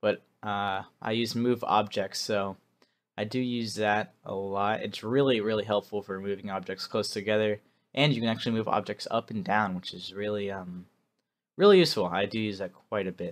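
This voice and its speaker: The recording is very clean, with a silent background. A man speaks at a fairly low pitch with fairly even intonation. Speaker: gaming video creator. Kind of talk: gameplay voiceover commentary. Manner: fast; casual with many fillers.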